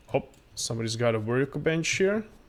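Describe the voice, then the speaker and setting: A man with a Croatian accent speaks at a medium pitch with lively intonation. The recording is very clean, with a silent background. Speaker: gaming streamer. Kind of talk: live gameplay commentary. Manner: halting.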